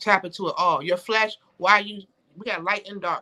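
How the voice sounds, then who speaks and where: The voice has an animated, bright and sharp tone with ordinary pitch variation, recorded with a dry, close sound and no echo. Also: woman. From Connecticut, US. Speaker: podcast guest. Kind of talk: casual interview chat. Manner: fast.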